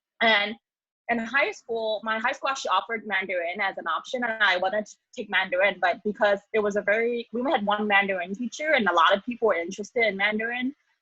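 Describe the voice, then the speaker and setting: In a Cantonese accent, a woman with a fairly high pitch talks at a very fast pace. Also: ordinary pitch variation. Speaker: graduate student, social worker. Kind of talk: panel discussion.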